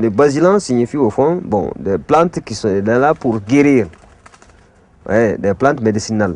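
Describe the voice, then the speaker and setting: This man's pitch sits in the medium range. He talks fairly slowly. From Mali. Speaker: art teacher and bogolan artist. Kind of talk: interview testimony. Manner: hesitant, with frequent fillers.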